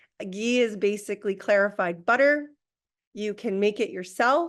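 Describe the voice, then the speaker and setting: Against a quiet background, a woman speaks in an ordinary speaking voice at a medium pitch, with ordinary pitch variation and a fairly slow pace. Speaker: Ayurveda practitioner. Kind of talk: lecture.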